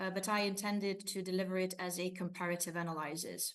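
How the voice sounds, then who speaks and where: A woman speaks with a Hungarian accent at a fairly quick pace. Her pitch is medium and her intonation monotone and flat. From Romania, ethnic Hungarian minority. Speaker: university lecturer and researcher. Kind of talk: conference presentation. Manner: hesitant, many fillers.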